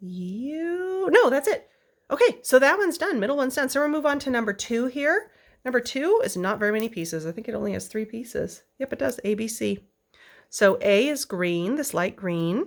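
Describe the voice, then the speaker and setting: Recorded very cleanly against a silent background, a woman with a high pitch speaks at a moderate pace, her pitch swinging very widely. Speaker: quilting pattern designer. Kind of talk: tutorial. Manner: casual, chatty.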